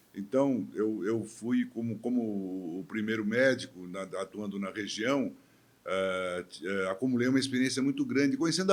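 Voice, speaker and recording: The pitch of this man's speech rises and falls across a very wide range. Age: 70s. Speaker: physician and former mayor. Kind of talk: interview conversation. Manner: hesitant, with fillers and restarts.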